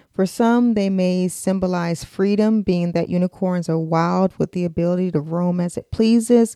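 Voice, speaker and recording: A woman with an American accent speaks at a fairly slow pace, her medium pitch carrying a dark, mellow tone. Her pitch varies in an ordinary way, and the sound is dry and close with no echo. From United States. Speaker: podcast host. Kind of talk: scripted narration.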